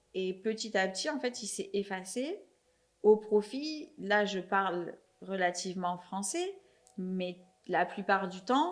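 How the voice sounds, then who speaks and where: Very slowly, with long, frequent pauses, a woman speaks at a medium pitch and ordinary pitch variation. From Marseille, southern France. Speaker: podcast host. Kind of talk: casual interview chat.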